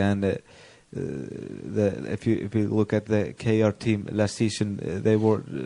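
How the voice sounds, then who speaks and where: In an Icelandic accent, a man talks at a fairly slow pace and fairly low pitch, his tone dark and mellow and his pitch variation ordinary. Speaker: sports interviewer. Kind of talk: interview. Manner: halting, many fillers.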